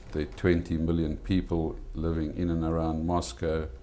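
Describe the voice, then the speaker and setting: A man speaks at a moderate pace with a South African accent. His very deep, low pitch has a dark, mellow tone. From South Africa, Eastern Cape (East London). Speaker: restaurant owner. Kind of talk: TV interview.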